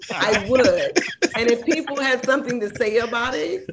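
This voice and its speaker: An animated tone and lively intonation with an American accent, at a moderate pace over noticeable background noise. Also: woman. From Oakland, California. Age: 50s. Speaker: music journalist. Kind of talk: interview.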